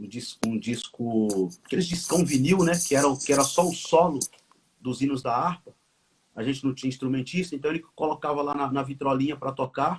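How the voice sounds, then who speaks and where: This man speaks at a fairly high pitch, and his voice is somewhat breathy. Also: ordinary pitch variation, moderate pace. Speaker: pastor and author. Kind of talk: conversational interview, live stream. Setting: live video stream. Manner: halting, with repetitions.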